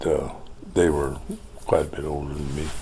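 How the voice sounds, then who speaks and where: A man with an American accent and a very deep, low pitch is heard with audible room echo and noticeable background noise. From Montana, US. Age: 80s+. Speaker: oral history interviewee. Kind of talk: interview. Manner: halting, many fillers.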